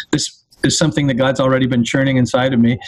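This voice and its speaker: Someone speaks in a Canadian accent over noticeable background noise. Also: man. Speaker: teaching pastor. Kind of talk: interview, explaining theology.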